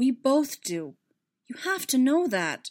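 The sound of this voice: A put-on character voice moves slowly with big pitch swings. Its tone is slightly mellow. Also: woman, high pitch for a woman.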